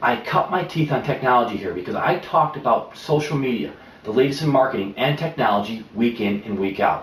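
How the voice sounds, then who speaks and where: This man has a plain, everyday voice, medium in pitch, with ordinary pitch variation and a fairly quick pace. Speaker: professional presenter and pitchman. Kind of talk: promotional pitch to camera. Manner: confident, polished, persuasive.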